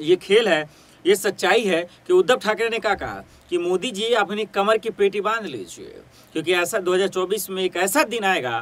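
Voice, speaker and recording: Here a man speaks at a fairly slow pace in a high voice with ordinary pitch variation. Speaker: news presenter. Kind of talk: news commentary. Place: studio.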